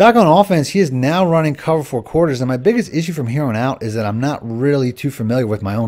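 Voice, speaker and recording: A man talks at a very fast pace with hardly any pauses, his medium-pitched voice animated and lively in intonation. The recording is very clean with a silent background. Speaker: gaming YouTuber. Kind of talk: gameplay commentary and tutorial.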